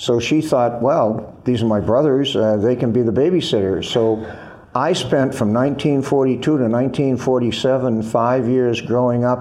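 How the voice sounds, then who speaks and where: Noticeable background noise sits under a man speaking with an American accent. He talks at a fairly slow pace and medium pitch, with ordinary pitch variation. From US Northeast, Boston area. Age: 70s. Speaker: former Marine officer and military writer. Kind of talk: interview.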